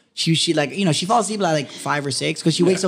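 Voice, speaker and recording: Very fast speech with an American accent and ordinary pitch variation over noticeable background noise. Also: man. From Miami, Florida (West Kendall). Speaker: podcast co-host. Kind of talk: casual chat. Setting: studio. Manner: animated.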